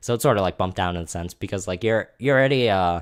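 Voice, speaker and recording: Lively intonation marks a man's fairly low voice in a very clean recording with a silent background. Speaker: card game content creator. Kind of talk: casual gameplay strategy commentary. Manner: rambly, repetitive.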